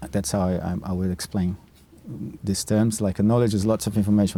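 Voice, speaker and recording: In a Brazilian Portuguese accent, a man speaks with a fairly low pitch and a dark, mellow tone. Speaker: nature mentor and program founder. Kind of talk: podcast interview. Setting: outdoors in a park. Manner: halting, repeats words.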